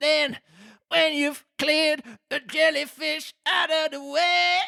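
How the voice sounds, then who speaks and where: A man's put-on character voice, extremely high in pitch, at a fairly slow pace. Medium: read story. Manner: sorrowful, sighing.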